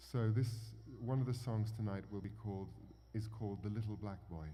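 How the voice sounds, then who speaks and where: Fairly even intonation and a moderate pace come through with audible room echo. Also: man, fairly low pitch for a man. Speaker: performer introducing songs. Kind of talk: talk to audience with interpreter. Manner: halting.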